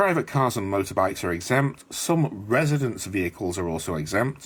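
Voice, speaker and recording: Speaking at a moderate pace, a man talks with vocal fry. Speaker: bus travel vlogger. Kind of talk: travel vlog narration. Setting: studio voiceover.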